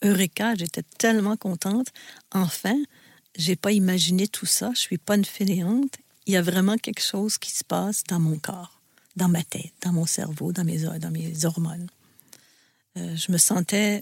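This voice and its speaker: Somewhat breathy and at a medium pitch, a woman speaks at a fairly slow pace with ordinary pitch variation and long, frequent pauses, the sound dry and close with no echo. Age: 60s. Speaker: host's mother, burnout survivor. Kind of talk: personal testimony.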